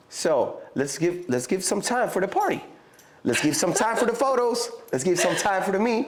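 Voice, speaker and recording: This man speaks with a Mexican accent. He keeps a moderate pace. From Mexico. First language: Spanish. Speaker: rapper. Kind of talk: casual interview chat. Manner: halting, with fillers and restarts.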